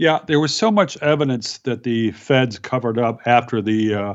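A man speaks in an ordinary speaking voice at medium pitch. His pace is moderate and his pitch variation ordinary. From Virginia mountains. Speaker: journalist and author. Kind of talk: interview.

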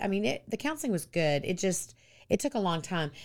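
In a Texan accent, a woman speaks at a fairly low pitch. Her intonation is lively. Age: 50s. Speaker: pastor's wife, recovered addict. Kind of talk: interview, personal testimony.

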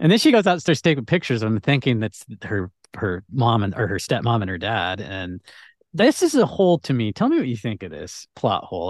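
The speaker has a plain, everyday voice with lively intonation. The sound is dry and close with no echo, over a quiet background. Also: man. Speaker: podcast guest. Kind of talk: casual chat.

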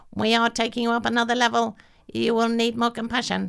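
A female-sounding voice is doing a put-on character voice at a fairly high pitch. It races along at a very fast pace. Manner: robotic, commanding.

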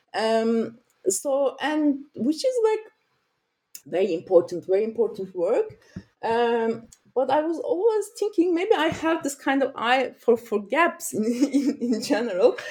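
Speaking at a fairly slow pace, a woman with a Turkish accent uses a high pitch with very wide pitch swings. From Turkey, Mediterranean region. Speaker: sociologist and author. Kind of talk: interview. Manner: halting, with many fillers.

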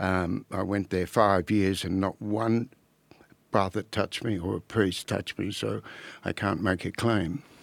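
Very deep, low male voice with an Australian accent, fairly slow pace and fairly even intonation, on a very clean recording with a silent background. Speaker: former barrister and author. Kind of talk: casual chat.

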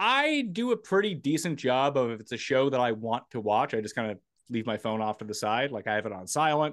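A man with a plain, everyday voice speaks at a fairly quick pace and medium pitch. The background is quiet. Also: lively intonation. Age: 30s. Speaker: sports podcast host. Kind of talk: casual chat.

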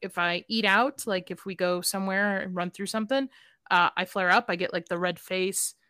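Bright, sharp tone at a moderate pace, with fairly even intonation and a very clean recording against a silent background. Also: woman, medium pitch for a woman, dry, close sound with no echo. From Chicago, South Side. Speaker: podcast guest. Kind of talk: casual chat.

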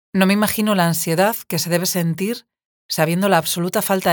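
The sound is dry and close, with no echo, as a woman speaks at a fairly quick pace. She has a normal speaking voice, pitched fairly low. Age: 40s. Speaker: podcast host and writer. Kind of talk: interview.

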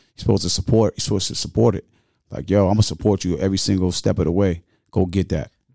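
At a very fast pace, a man speaks in a dark, mellow tone at a very deep, low pitch with vocal fry and ordinary pitch variation, in a very clean recording with a silent background. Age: 40s. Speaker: community activist and mentor. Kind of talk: casual interview.

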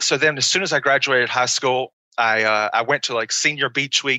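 A man speaks with an American accent in a plain, everyday voice. His pitch is medium and his pace fairly quick. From small-town North Carolina. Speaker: pro wrestler. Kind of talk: interview. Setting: video call.

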